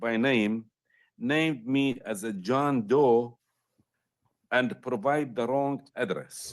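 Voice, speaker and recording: With a non-native accent, a man speaks very slowly using ordinary pitch variation. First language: not English. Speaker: appellant representing himself in court. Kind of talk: court argument, reading prepared statement. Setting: courtroom. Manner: halting.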